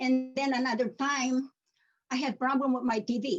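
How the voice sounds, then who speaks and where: This speaker talks at a fairly slow pace with a Filipino accent. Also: woman. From Philippines. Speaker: community member sharing story. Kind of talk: personal testimony.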